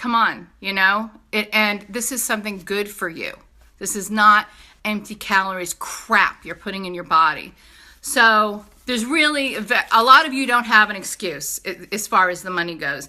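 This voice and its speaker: In a New York accent, the speaker uses an animated tone at a moderate pace, with ordinary pitch variation and big swings in loudness, in a very clean recording with a silent background. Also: woman, medium pitch for a woman. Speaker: direct sales entrepreneur. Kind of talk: sales pitch. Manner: animated, casual.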